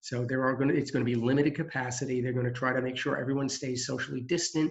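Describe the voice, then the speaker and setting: A man's somewhat breathy voice holds a medium pitch and a monotone, flat intonation. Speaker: employment center staff. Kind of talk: presentation. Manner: fast.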